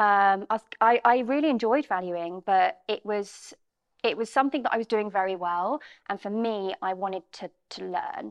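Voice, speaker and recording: A woman speaks in a southern English accent at a medium pitch. Her pace is moderate, with ordinary pitch variation. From Bromley, outside London, England. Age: 30s. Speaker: estate agency managing director. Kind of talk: interview. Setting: studio.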